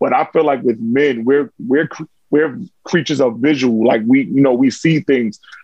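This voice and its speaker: This man speaks with a New York accent at a medium pitch. His loudness stays very even. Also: ordinary pitch variation, moderate pace. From New York, Harlem. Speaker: content creator. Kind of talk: casual chat.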